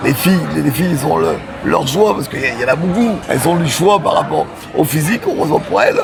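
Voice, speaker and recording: Background music plays throughout. A man's speech runs very fast. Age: 60s. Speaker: wheelchair user, street vendor. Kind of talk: interview testimony. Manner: halting, repetitive.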